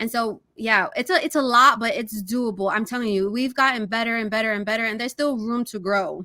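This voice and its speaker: Speaking with hardly any pauses, a voice with a bright, sharp tone and a New York accent comes through on a very clean recording with a silent background. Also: woman, fairly high pitch for a woman, ordinary pitch variation. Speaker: real estate agent. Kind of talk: interview. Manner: casual, many fillers.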